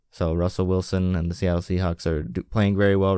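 A man's very deep, low voice with an American accent, dark and mellow in tone, at a fairly quick pace, in a dry, close sound with no echo and a very clean recording with a silent background. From US Midwest, western Wisconsin. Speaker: sports podcast co-host. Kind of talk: casual sports chat.

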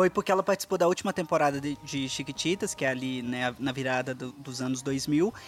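A fairly quick pace with hardly any pauses, in a very clean recording with a silent background. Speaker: podcast co-host, audiovisual worker. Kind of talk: casual chat.

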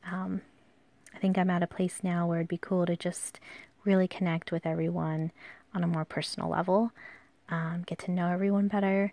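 Against a quiet background, a dark, mellow voice moves at a fairly quick pace with monotone, flat intonation and long, frequent pauses. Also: woman, fairly low pitch for a woman. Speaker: podcast host and calligraphy artist. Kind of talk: casual solo monologue. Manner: hesitant, many fillers.

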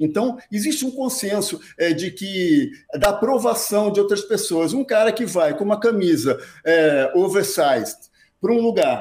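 Lively intonation marks this man's high-pitched voice as he speaks at a fairly slow pace. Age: 60s. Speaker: men's fashion content creator. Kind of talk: casual interview chat. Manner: animated.

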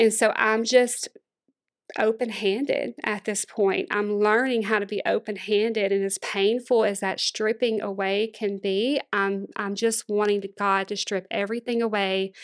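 In a Louisiana accent, a woman speaks at a fairly high pitch and a fairly slow pace with fairly even intonation over a quiet background. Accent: Southern US (Louisiana). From Louisiana, Monroe. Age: 40s. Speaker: former pastor's wife and church planter. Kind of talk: interview testimony.

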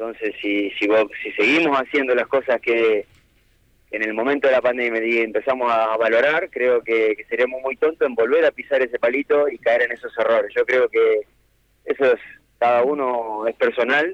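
A man at a moderate pace, with a dry, close sound and no echo. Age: 40s. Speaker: professional footballer. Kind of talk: radio interview. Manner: halting, repeats words.

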